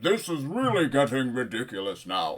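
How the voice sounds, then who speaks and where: A booming, put-on character voice from a man, medium in pitch, with very wide pitch swings and a moderate pace. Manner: irritated, exasperated.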